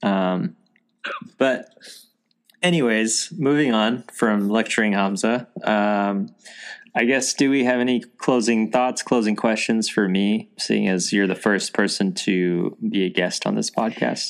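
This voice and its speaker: Speaking at a fairly slow pace, a man uses an ordinary speaking voice with medium pitch and ordinary pitch variation, captured on a very clean recording with a silent background. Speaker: podcast host. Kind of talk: casual chat. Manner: casual, friendly.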